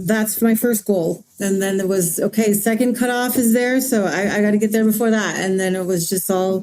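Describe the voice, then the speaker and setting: Fairly even intonation in an American accent, at a moderate pace with hardly any pauses. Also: woman, medium pitch for a woman. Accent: Navajo English. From Navajo Nation, Arizona. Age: 40s. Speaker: mountain runner and student. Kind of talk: interview. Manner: halting.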